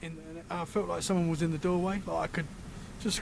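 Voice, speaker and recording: Speaking very fast at a high pitch with fairly even intonation, a man is heard with audible room echo. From Britain. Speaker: paranormal podcaster. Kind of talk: casual chat.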